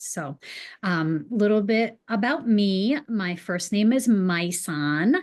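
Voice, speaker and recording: Against a quiet background, a woman with a Boston accent speaks with ordinary pitch variation. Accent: Boston accent, occasionally drops R. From New England. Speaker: real estate agent. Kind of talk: webinar presentation.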